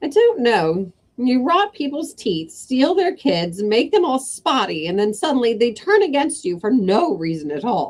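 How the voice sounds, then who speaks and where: A put-on character voice, rumbling and cackling, fairly high in pitch with very wide pitch swings, moderate pace and hardly any pauses. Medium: read story. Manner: cackling, grumbling.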